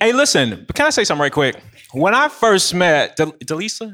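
At a fairly quick pace, a man speaks with a bright, sharp tone, vocal fry, and very wide pitch swings. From Nashville. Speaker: tech entrepreneur, business coach. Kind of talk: panel discussion. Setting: stage with audience.

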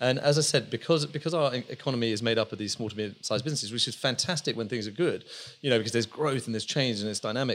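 This man has an English accent and a medium pitch with ordinary variation. He talks at a very fast pace. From England, just outside London. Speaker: business founder and CEO. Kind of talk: casual interview.

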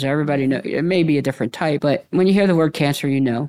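A man with a normal speaking voice talks at a fairly high pitch, with ordinary pitch variation. The recording is very clean, with a silent background. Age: 50s. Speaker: patient advocate. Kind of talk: panel interview. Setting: live recording at convention.

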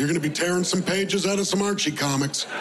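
Over noticeable background noise and audible room echo, a man speaks at a fairly quick pace in a high pitch with ordinary pitch variation. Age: 30s. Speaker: stand-up comedian. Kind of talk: stand-up.

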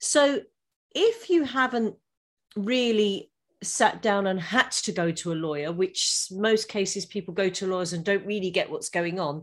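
A fairly slow pace in an English accent, with ordinary pitch variation and a very clean recording against a silent background. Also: woman, medium pitch for a woman. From England. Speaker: law firm founder and podcaster. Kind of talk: interview.

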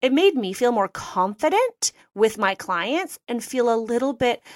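A woman with a Canadian accent has a plain, everyday voice at a fairly high pitch, speaking at a fairly slow pace with lively intonation, the sound dry and close with no echo. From Canada (Toronto). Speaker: interior designer and business coach. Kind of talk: interview.

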